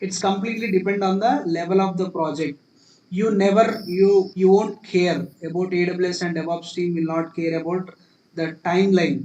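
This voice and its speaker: Speaking with an Indian accent, a man uses a high pitch, a dark, mellow tone, and fairly even intonation. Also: moderate pace. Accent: Indian English, Telugu. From India, Telugu-speaking region. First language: Telugu. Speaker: cloud computing instructor. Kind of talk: live class tutorial. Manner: repetitive, restarting phrases.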